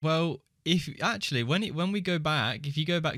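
A man with an English accent, at a moderate pace. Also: very clean recording, silent background. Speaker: podcast co-host. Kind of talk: casual chat. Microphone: new mic he struggled to make sound good.

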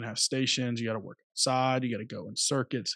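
A plain, everyday voice, a man with an American accent talks at a fairly quick pace and medium pitch, the sound dry and close with no echo. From US South, Alabama. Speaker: high school strength coach. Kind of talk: podcast interview.

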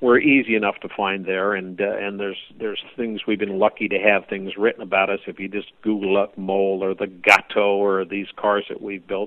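With an American accent, a man speaks at a fairly quick pace in a flat monotone, hardly pausing at all. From US West Coast, Oakland, California. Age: 60s. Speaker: hot rod builder. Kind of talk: interview.

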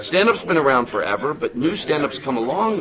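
A man talks at a fairly quick pace with very wide pitch swings, and noticeable background noise runs underneath. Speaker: comedian. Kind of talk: casual chat. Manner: animated.

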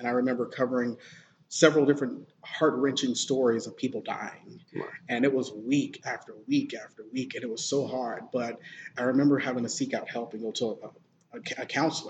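A man talks in an ordinary speaking voice at a fairly quick pace. His pitch is medium, his intonation fairly even, and his loudness swings widely. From Alabama, US South. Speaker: TV news anchor. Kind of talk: casual interview.

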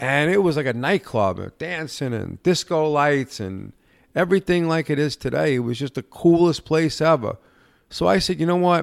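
In a very clean recording with a silent background, a man talks at a moderate pace with lively intonation in a plain, everyday voice, the sound dry and close with no echo. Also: fairly high pitch for a man. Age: 50s. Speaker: bar and cigar lounge owner. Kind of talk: casual chat. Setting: cigar lounge.

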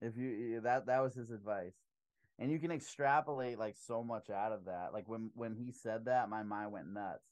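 With ordinary pitch variation, an unremarkable speaking voice keeps to a moderate pace. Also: man, medium pitch for a man. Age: 30s. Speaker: business owner and public speaker. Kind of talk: casual interview chat. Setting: home podcast studio.

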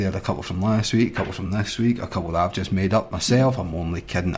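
A man with a Scottish accent speaks with ordinary pitch variation. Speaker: radio host. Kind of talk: radio DJ patter. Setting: studio. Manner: upbeat, chatty, cheerful.

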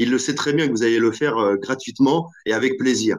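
At a moderate pace, a man talks at a medium pitch. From Normandy, France. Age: 40s. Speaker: entrepreneur, app founder. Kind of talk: interview. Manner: hesitant, many fillers.

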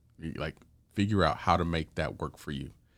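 A man with an American accent speaks in a very deep, low pitch with ordinary pitch variation. The recording is very clean, with a silent background. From Houston, Texas. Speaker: prosecutor. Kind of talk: casual chat.

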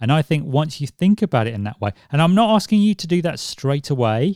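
A normal speaking voice from a man, fairly high in pitch, quick-paced and lively in intonation, dry and close with no echo. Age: 40s. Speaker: podcast host. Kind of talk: solo podcast monologue. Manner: conversational.

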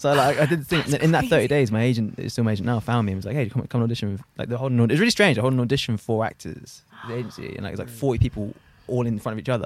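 A man talks at a very fast pace. His pitch is medium with ordinary variation. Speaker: podcast host. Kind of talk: casual chat.

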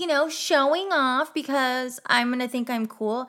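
A woman with an American accent has a high, bright and sharp voice and fairly even intonation. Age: 30s. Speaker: podcast host. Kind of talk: casual solo monologue. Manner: chatty, talkative.

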